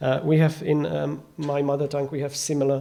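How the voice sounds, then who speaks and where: Speaking with a non-native accent, a man uses a dark, mellow tone at a fairly high pitch, with fairly even intonation and a moderate pace. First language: not English. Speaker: conference speaker. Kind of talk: conference talk. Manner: halting.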